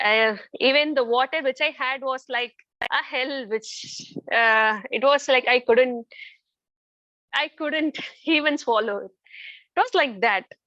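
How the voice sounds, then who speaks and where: Speaking in a raised, projected voice with a bright, sharp tone, a woman with a high pitch and ordinary pitch variation moves at a fairly slow pace, leaving long, frequent pauses, in a dry, close sound with no echo. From India. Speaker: parent of a child with a rare disease. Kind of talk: testimony.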